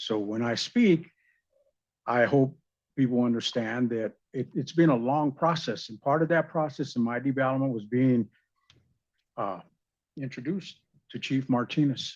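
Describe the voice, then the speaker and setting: The background is quiet, the pauses come long and often, and the pitch varies in an ordinary way. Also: man, medium pitch for a man, moderate pace. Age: 60s. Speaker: resident speaking at council. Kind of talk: public comment at council meeting. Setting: city council meeting.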